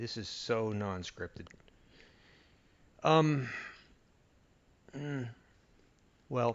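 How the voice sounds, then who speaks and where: Soft-spoken and at a very slow pace, a man talks with ordinary pitch variation and long, frequent pauses. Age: 50s. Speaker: audio reviewer YouTuber. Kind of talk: unscripted casual monologue. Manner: soft-spoken, keeping voice low; halting, many fillers.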